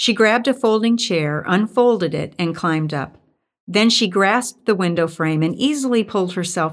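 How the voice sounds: Quiet surroundings behind a natural reading voice.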